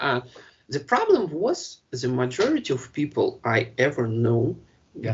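A man speaks with a Russian accent. His pace is very slow. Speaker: podcast co-host. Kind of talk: casual chat. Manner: halting.

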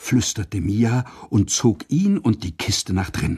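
The passage is read aloud in a natural voice.

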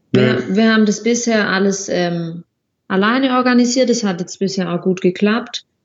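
A woman talks at a moderate pace and a medium pitch. Her voice is somewhat breathy, with ordinary pitch variation. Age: 20s. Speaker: occupational therapist and traveler. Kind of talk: casual interview.

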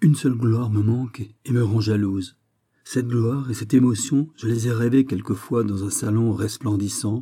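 In plain reading aloud with fairly even intonation, the speaker is heard against a quiet background.

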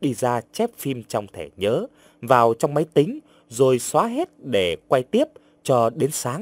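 Natural voice for reading

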